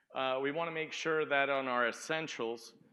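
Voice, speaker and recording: Loud and in a bright, sharp tone, a man speaks at a moderate pace with ordinary pitch variation. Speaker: sales engineer. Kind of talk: conference talk. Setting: stage with audience.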